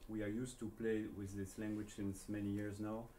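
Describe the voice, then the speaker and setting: The speech is monotone with flat intonation, and audible room echo surrounds it. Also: man. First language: not English. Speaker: jazz saxophonist and researcher. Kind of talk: lecture. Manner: halting, many fillers.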